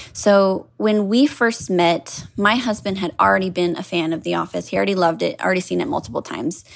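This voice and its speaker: A plain, everyday voice from a woman at medium pitch, fairly quick and lively, with hardly any pauses. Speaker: caller, HR professional. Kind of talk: casual storytelling.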